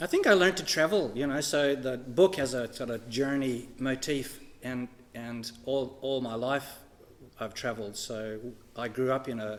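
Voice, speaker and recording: At a moderate pace, a man speaks at a medium pitch with ordinary pitch variation amid noticeable background noise. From Canada and Australia (Swansea, NSW). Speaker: author and former chaplain. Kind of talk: interview. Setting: church. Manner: halting.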